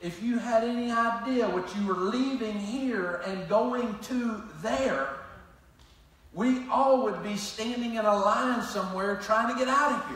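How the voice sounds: With strong room echo around him, a man speaks at a high pitch with ordinary pitch variation. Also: fairly slow pace, fairly bright tone.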